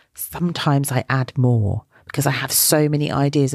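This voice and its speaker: A woman with a British accent talks at a moderate pace in a dry, close sound with no echo. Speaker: children's wellbeing podcast host. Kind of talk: talk to young listeners.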